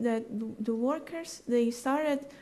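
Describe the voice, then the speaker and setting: In a room with audible echo, a woman with a high pitch, ordinary pitch variation and a dark, mellow tone speaks at a very slow pace. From Brazil, Rio de Janeiro. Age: 20s. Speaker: conference speaker. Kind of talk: audience Q&A. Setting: conference stage with audience. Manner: halting.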